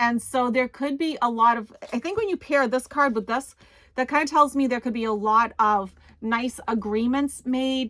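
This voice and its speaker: With an American accent, a woman speaks fairly slowly in a high, bright, sharp voice with ordinary pitch variation. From New England, US. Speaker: tarot reader and psychic medium. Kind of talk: tarot reading answering viewer questions. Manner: casual, many fillers.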